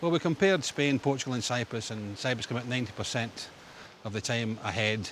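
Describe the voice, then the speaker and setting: A man's medium-pitched voice with a Scottish accent. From Scotland, Glasgow. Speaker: ambulance service owner. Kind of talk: interview. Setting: outdoors.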